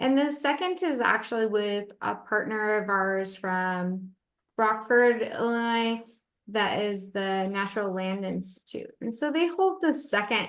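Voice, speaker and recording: This woman has a plain, everyday voice, fairly high in pitch, with ordinary pitch variation and a fairly slow pace. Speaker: natural cemetery operator presenting a case study. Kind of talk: webinar Q&A answers. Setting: online webinar.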